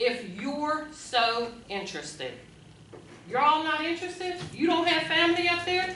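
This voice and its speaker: In a raised, projected voice, a woman with an American accent speaks at a high pitch with an animated tone and lively intonation, amid noticeable background noise and audible room echo. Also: moderate pace. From Munhall, Pennsylvania (Pittsburgh area). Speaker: resident speaking at council meeting. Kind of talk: public comment, heated debate. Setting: borough council meeting. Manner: loud; animated, emotional.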